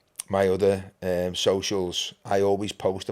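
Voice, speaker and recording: In a Liverpool accent, the speaker talks at a moderate pace with a monotone, flat intonation, in a very clean recording with a silent background. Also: man. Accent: Scouse (Liverpool). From Liverpool, England (Anfield). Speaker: podcast co-founder and host. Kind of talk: casual chat.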